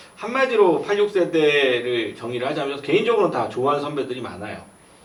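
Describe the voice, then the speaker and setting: A man with a fairly high pitch talks at a fairly quick pace amid audible room echo and noticeable background noise. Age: 40s. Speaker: writer and former journalist. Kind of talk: panel discussion.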